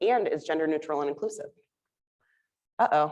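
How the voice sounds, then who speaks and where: This woman speaks with lively intonation at a fairly low pitch, against a quiet background. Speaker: nurse-midwife clinical educator. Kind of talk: lecture. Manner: loud; casual.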